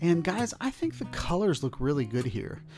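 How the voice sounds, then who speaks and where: At a moderate pace, a man talks while clear music plays in the background. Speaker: camera reviewer. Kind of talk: casual vlog chat. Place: street. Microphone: phone near.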